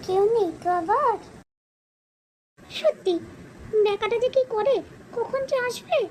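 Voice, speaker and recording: In a cartoonish character voice, a woman talks at a fairly slow pace with an extremely high pitch. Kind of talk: comic overacting. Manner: loud, excitable.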